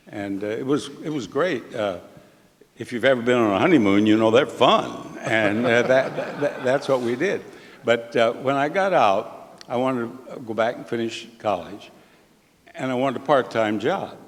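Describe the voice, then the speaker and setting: There is noticeable background noise behind this man's voice. His pitch varies in an ordinary way. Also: medium pitch for a man, moderate pace. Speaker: game show host. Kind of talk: interview answer. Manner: wry, storytelling.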